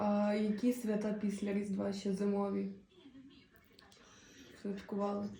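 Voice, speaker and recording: Over noticeable background noise, a woman speaks at a fairly slow pace in a monotone, flat intonation with long, frequent pauses. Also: medium pitch for a woman. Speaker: philology student interviewer. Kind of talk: interview questions.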